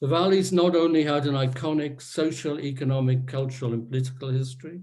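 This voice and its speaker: With a dark, mellow tone and a somewhat breathy quality, a man speaks at a moderate pace with fairly even intonation, and the room echo is audible. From Wales, Rhondda valley. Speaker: author and historian. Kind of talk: reading aloud from own memoir. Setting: virtual online event.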